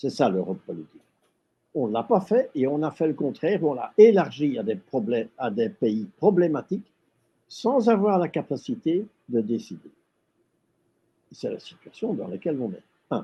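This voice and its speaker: A man with vocal fry speaks at a fairly high pitch and a moderate pace. His pitch swings very widely, and he takes long, frequent pauses. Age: 80s. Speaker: retired European civil servant, former priest. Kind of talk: interview.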